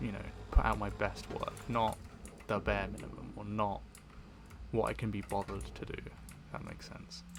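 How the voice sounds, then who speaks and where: Speaking at a moderate pace with a British accent, this voice leaves long, frequent pauses over noticeable background noise. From Britain. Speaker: audio creator and gamer. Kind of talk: casual rambling monologue over gameplay. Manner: hesitant, many fillers and repeats; relaxed, sleep-aid pace.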